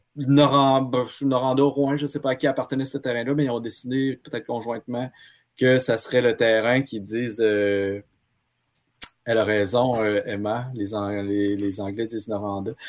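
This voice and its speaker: A man with a Quebec accent speaks with ordinary pitch variation. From Quebec, Abitibi-Témiscamingue. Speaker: archivist. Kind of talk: casual history discussion.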